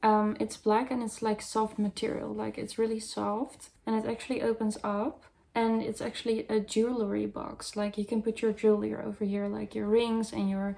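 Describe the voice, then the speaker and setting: With a Dutch accent, a woman speaks at a moderate pace with hardly any pauses, her fairly high voice monotone and flat. Noticeable background noise runs underneath. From Netherlands or Flanders. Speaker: goth fashion vlogger. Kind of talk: haul video, casual talk to camera.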